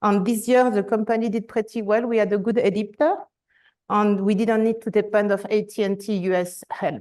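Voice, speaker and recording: The background is quiet. A woman speaks with a French accent. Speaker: enterprise architecture director. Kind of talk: conference presentation.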